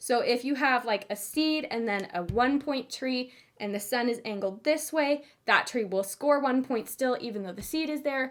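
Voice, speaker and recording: Here a woman speaks with a high pitch at a moderate pace. Her pitch varies in an ordinary way. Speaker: board game reviewer. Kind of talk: review video. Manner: casual.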